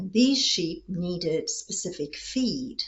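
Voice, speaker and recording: Very wide pitch swings mark this woman's somewhat breathy, medium-pitched voice. She speaks at a very slow pace. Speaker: retired opera singer and voice teacher. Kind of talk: storytelling to camera.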